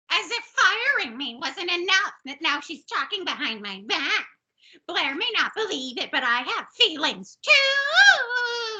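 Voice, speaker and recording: Using a put-on character voice, a woman speaks at an extremely high, shrill pitch with very wide pitch swings. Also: fairly slow pace. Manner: indignant, complaining.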